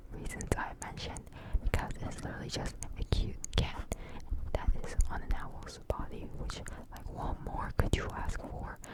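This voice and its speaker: Whispering at a moderate pace, a woman is heard through noticeable background noise. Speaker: ASMR creator, gamer. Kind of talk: ASMR whispered talk to camera. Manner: whispered, casual, chatty.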